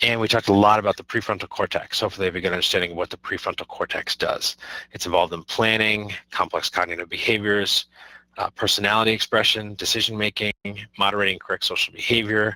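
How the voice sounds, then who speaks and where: A man speaks at a very fast pace in a monotone, flat intonation. His tone is bright and sharp, and the sound is dry and close with no echo. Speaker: high school teacher. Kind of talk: lecture. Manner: halting.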